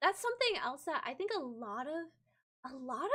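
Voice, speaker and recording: This woman has a high voice that swings very widely in pitch. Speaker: vtuber streamer. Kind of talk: live stream editing tutorial. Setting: live stream. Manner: casual, with filler words.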